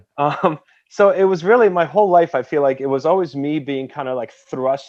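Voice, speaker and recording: Against a quiet background, a man talks at a fairly quick pace. His pitch is fairly high, with ordinary variation. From Poland, moved to US at 11. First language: Polish. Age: 30s. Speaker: history teacher and author. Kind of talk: podcast interview. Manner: casual, animated storytelling.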